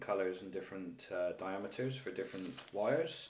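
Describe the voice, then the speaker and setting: A man speaks in a strong Bristol accent. Noticeable background noise and audible room echo fill the recording. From Bristol, England. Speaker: DIY hobbyist. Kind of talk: tutorial. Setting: kitchen table at home. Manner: casual.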